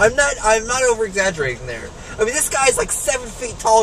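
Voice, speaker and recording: Loud and animated, a man speaks at a fairly quick pace with very wide pitch swings while crowd noise fills the background. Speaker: EMS worker and vlogger. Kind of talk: angry rant, profane vlog rant while driving. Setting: in a car. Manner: loud, fast, profane, animated, venting and laughing at himself. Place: car. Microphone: phone near.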